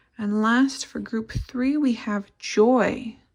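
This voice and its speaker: Somewhat breathy and fairly high in pitch, a woman speaks at a very slow pace with fairly even intonation. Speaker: tarot reader. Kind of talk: tarot reading to camera. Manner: unscripted, some repeated words.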